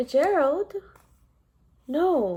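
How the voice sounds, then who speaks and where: Putting on a character voice, a woman speaks high in pitch with very wide pitch swings. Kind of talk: bedtime story. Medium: read story. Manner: bright, caring.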